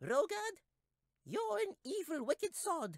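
Someone uses a squeaky, put-on character voice at an extremely high pitch. The pace is fairly slow, with very wide pitch swings.

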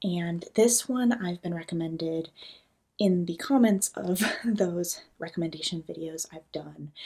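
Against a quiet background, a woman with an American accent speaks at a fairly slow pace in a fairly low pitch, with a dark, mellow, somewhat breathy tone and ordinary pitch variation. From California, US. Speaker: booktuber; book vlogger. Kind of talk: casual vlog chat. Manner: animated. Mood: enthusiastic, cozy. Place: home room. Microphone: phone near.

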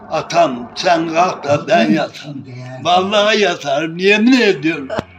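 At a very slow pace, a man speaks at a high pitch with lively intonation and very even loudness. Noticeable background noise is present. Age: 80s+. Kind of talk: interview answer.

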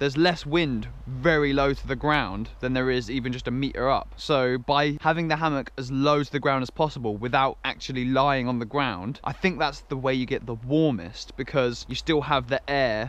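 Intonation stays fairly even at a moderate pace. The sound is dry, with no echo. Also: man. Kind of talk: casual vlog chat. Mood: relaxed, content morning. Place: forest. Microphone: phone near.

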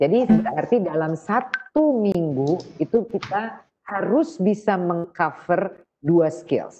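Faint music plays in the background as the speaker goes at a very slow pace. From Indonesia. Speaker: trainer of teachers. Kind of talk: online training webinar. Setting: video call. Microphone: video call.

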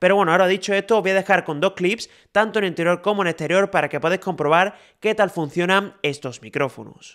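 The delivery is very fast. The recording is very clean, with a silent background. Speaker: tech reviewer. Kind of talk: product review. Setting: outdoors.

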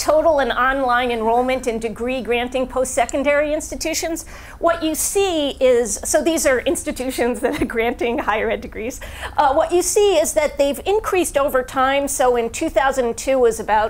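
This woman's voice is high-pitched and shows ordinary pitch variation. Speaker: presenter. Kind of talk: lecture. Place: hall.

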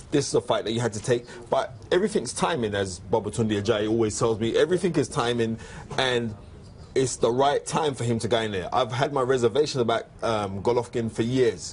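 A man at medium pitch with ordinary pitch variation, talking at a fairly quick pace over noticeable background noise. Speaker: boxing pundit. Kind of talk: casual chat. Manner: animated.

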